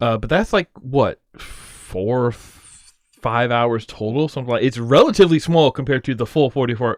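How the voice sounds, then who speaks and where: The man's tone is animated, with a medium pitch and ordinary pitch variation. He keeps a moderate pace in a dry, close sound with no echo. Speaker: streamer. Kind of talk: casual chat. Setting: livestream. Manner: loud.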